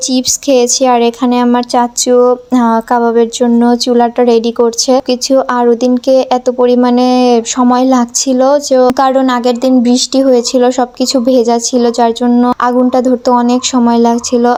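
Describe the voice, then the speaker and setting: A woman speaks in a high voice with a dark, mellow tone, monotone, flat intonation and very even loudness. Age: young. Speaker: vlogger. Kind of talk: casual vlog narration.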